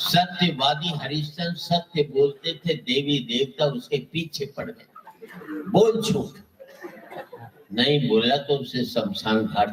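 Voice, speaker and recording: Over noticeable background noise, a man with a Haryana accent speaks with hardly any pauses, a fairly high pitch and very wide pitch swings. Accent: Haryanvi. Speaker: comic poet. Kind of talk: humorous poetry stage performance.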